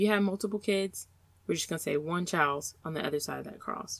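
A woman talks with a fairly low pitch and ordinary pitch variation. Hers is an ordinary speaking voice. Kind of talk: guided meditation. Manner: slow, calm, soothing, gently paced with pauses; warm, encouraging, intimate.

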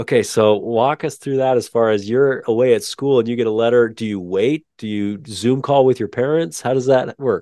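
A man with an American accent and a normal speaking voice, medium in pitch, at a moderate pace with hardly any pauses and ordinary pitch variation. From Utah. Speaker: podcast host. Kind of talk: interview conversation.

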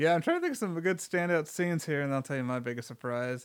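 A normal speaking voice from a man, fairly quick in pace and ordinary in pitch variation. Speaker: podcast host. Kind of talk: casual chat. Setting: studio.

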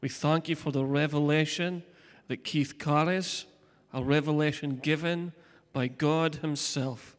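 A man with a fairly high pitch speaks at a fairly slow pace in a monotone, flat way. The recording is very clean, with a silent background. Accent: Scottish. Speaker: pastor. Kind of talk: sermon. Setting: church.

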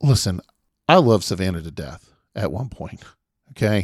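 The sound is dry and close with no echo, and the recording is very clean with a silent background, as a man talks at a moderate pace. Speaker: podcast host. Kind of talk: casual podcast chat and rant.

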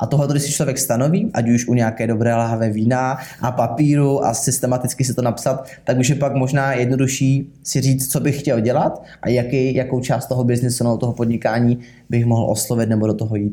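Speaking at a fairly quick pace, a somewhat breathy man holds a medium pitch with fairly even intonation and very even loudness. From southern Bohemia, Czechia. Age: 20s. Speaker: sales manager. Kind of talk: interview. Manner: halting.

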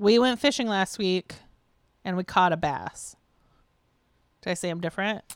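A woman speaks at a moderate pace with a medium pitch, ordinary pitch variation and long, frequent pauses. The sound is dry and close with no echo, very clean, with a silent background. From US Midwest. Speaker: podcast co-host. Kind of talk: casual chat.

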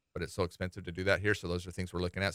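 This man speaks with an American accent and a bright, sharp tone. The recording is very clean, with a silent background. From Utah, Salt Lake City. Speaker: university athletics director. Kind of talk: radio interview. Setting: radio studio.

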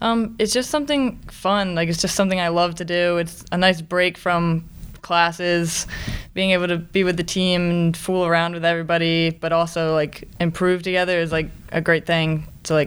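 A woman speaks with an American accent at a moderate pace. Her intonation stays fairly even. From Maryland, US. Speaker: college athlete. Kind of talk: interview.

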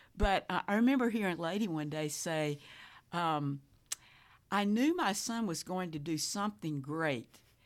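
An ordinary speaking voice moves at a moderate pace. The recording is very clean, with a silent background. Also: woman, fairly low pitch for a woman, lively intonation. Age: 60s. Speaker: widow and grandmother, panel guest. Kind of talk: casual panel discussion.

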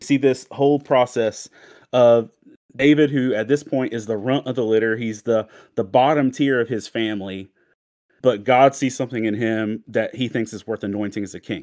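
An unremarkable speaking voice from a man, mid-range in pitch, fairly even in intonation, moderate in speed. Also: very clean recording, silent background. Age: 40s. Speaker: pastor and author. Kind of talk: casual talk with a devotional teaching.

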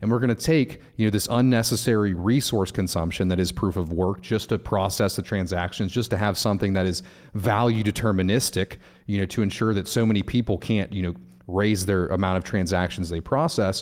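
A man's plain, everyday voice at a fairly low pitch, with ordinary pitch variation and very even loudness, on a very clean recording with a silent background. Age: 20s. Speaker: crypto YouTuber and community builder. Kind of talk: casual interview chat.

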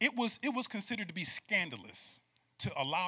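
A man speaks in an animated tone. His voice is bright and sharp. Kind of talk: sermon to a live congregation, preacher in full flow. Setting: church with live audience. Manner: animated, call-and-response, urging the crowd to shout back; emphatic, rhythmic, repeating phrases for effect.

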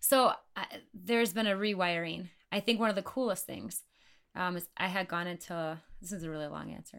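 In a normal speaking voice, an American-accented woman talks at a fairly quick pace and medium pitch, with ordinary pitch variation and big swings in loudness. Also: very clean recording, silent background. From Wisconsin. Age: 30s. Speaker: podcast guest. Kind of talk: casual chat.

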